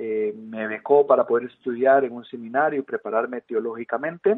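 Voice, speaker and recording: A man speaks with a Costa Rican accent. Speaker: missionary. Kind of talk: interview. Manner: halting, many fillers.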